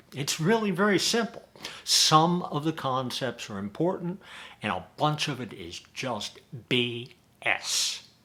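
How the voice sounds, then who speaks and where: This man's pitch is fairly high. His intonation is lively. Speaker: advertising agency owner. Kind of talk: sales pitch to camera. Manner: emphatic, repetitive.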